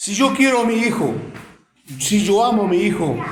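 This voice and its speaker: A man's voice is heard with audible room echo. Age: 60s. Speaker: lay preacher. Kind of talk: sermon.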